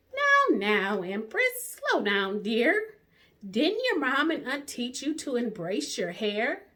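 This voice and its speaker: A woman's put-on character voice, high in pitch, with very wide pitch swings at a fairly slow pace. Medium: read story. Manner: gentle, reassuring.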